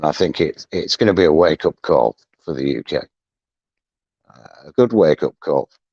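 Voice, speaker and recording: With a northern English accent, a man talks at a fairly slow pace in a very deep, low voice with vocal fry. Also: dry, close sound with no echo. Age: 60s. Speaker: deck cleaning business owner. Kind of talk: casual chat. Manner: hesitant.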